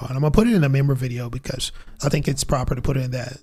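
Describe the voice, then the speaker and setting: An animated man with a medium pitch, talking at a very fast pace over music in the background. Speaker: crypto YouTube host. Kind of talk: live stream commentary. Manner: casual, animated.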